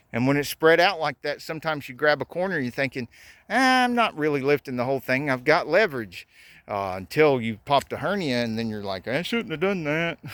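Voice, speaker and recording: A man with a fairly high pitch moves at a fairly quick pace through very wide pitch swings, on a very clean recording with a silent background and a dry, close sound with no echo. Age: 50s. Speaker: DIY builder. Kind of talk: tutorial. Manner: casual, conversational.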